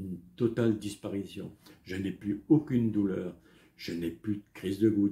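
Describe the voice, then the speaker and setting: A dark, mellow, somewhat breathy tone with ordinary pitch variation at a moderate pace. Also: man. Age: 60s. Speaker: health vlogger. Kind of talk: personal testimony. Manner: halting, many hesitations.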